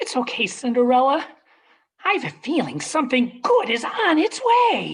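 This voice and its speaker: Putting on a character voice, a man talks at a moderate pace with an extremely high pitch for a man. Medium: stage play.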